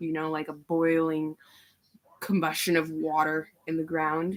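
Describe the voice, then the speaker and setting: A woman's very deep, low-pitched voice in a monotone, flat intonation. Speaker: tarot reader. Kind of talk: live stream psychic reading. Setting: live stream. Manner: halting, many fillers.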